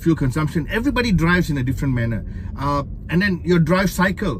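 A man talks at a very fast pace with light background noise behind him. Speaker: car reviewer driving. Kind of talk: commentary. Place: car. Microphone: phone near.

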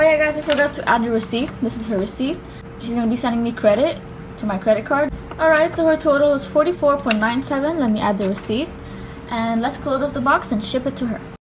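Against noticeable background noise, a woman talks very fast in a high voice with ordinary pitch variation. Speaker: pretend shop seller packing an order. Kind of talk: casual vlog chat. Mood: cheerful, excited. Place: home room. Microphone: phone near.

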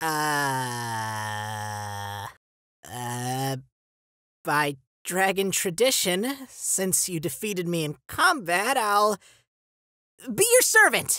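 In a put-on character voice at a middle pitch, the speaker goes at a very slow pace with very wide pitch swings and long, frequent pauses on a very clean recording with a silent background. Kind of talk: comic dub. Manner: playful, excitable.

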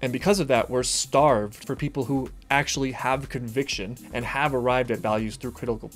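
Faint music plays behind a man who speaks fairly quickly with hardly any pauses and fairly even intonation. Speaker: reaction video host. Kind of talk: reaction commentary. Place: home room.

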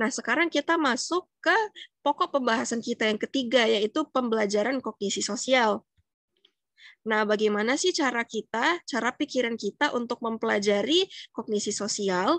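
A woman with a plain, everyday voice speaks at a moderate pace in a fairly high pitch with lively intonation, the sound dry with no echo over a quiet background. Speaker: psychology student. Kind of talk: educational explainer. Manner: casual, conversational. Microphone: webcam.

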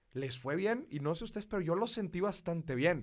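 A man speaks at a high pitch in an animated tone. His voice swings very widely in pitch against a quiet background. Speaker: podcast host. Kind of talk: casual chat. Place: studio. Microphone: studio mic.

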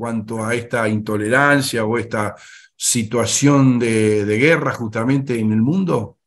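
A man at a fairly slow pace, ordinary pitch variation, quiet background. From Argentina. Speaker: interviewer; interviewer, host. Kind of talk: interview; interview questions. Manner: halting, repeats words. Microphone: video call.

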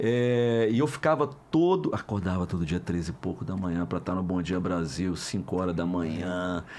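Lively intonation carries the speech at a moderate pace. Light background noise can be heard. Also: man, very deep, low pitch for a man. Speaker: voice actor. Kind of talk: interview answer. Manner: casual, anecdotal. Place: studio. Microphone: studio mic.

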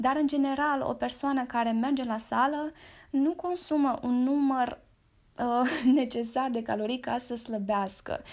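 Pitch variation is ordinary and the pace fairly slow. The recording is very clean, with a silent background. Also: woman, high pitch for a woman. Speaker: fitness influencer. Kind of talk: casual monologue. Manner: animated.

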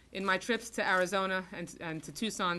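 A woman with a fairly low pitch speaks at a moderate pace in a bright, sharp tone. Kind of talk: formal tribute speech. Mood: solemn, earnest. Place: meeting room. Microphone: podium.

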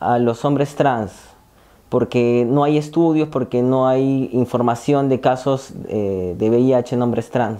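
A man talks in a dark, mellow tone, his pitch varying in an ordinary way. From Peru, Lima; Peru. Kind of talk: testimony. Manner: halting, many fillers. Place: empty room. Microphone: lapel.

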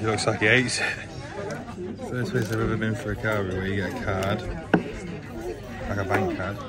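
Over crowd noise in the background, the speech moves at a fairly quick pace, and the sound is dry with no echo. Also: man. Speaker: vlogger. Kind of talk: casual vlog chat. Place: bar. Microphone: phone near.

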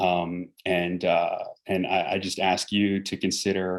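Speaking with an eastern US accent, a man uses a very deep, low pitch and monotone, flat intonation in a very clean recording with a silent background. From New York City suburbs. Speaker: military garrison commander. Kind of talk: town meeting briefing and Q&A. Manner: halting, many fillers and repeats.

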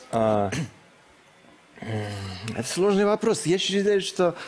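Over noticeable background noise, a man with a fairly high voice speaks with very wide pitch swings. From Russia, Kirov. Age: 20s. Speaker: bachelor contestant, blogger. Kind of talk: TV talk show interview. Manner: halting.

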